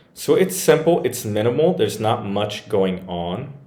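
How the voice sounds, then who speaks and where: A man with a dark, mellow tone speaks at a moderate pace in a fairly low pitch with lively intonation, over audible room echo. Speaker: WordPress tech reviewer. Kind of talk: screen-share tutorial review. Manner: casual, hesitant with fillers.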